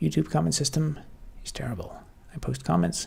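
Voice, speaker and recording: The voice is soft-spoken and somewhat breathy, with a dark, mellow tone. It moves at a fairly quick pace. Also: man. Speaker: software developer streamer. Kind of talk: live stream chat.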